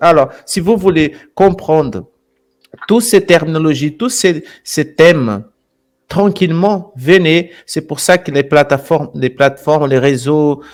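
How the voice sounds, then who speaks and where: A man's fairly high voice, very slow pace, ordinary pitch variation. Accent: Brazilian. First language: Portuguese (speaking French). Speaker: channel host, alternative history presenter. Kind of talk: live stream chat. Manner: repetitive, halting phrasing.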